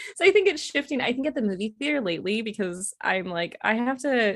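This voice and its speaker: A woman with a plain, everyday voice and a fairly high pitch speaks at a moderate pace. Her intonation is lively, and the recording is very clean with a silent background. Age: 20s. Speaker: nonprofit operations coordinator. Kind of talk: casual chat.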